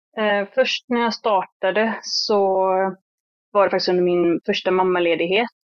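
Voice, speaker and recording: A woman's medium-pitched, unremarkable speaking voice at a moderate pace, with fairly even intonation and very even loudness. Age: 30s. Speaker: hairdresser and salon owner. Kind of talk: interview.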